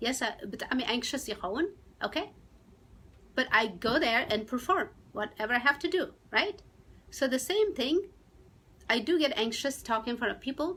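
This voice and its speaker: A woman with an Eritrean accent talks at a fairly quick pace and a high pitch, making very wide pitch swings and taking long, frequent pauses. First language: Tigrinya. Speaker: YouTube live streamer. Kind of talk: live stream chat, mixing Tigrinya and English. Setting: live stream. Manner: halting, with false starts.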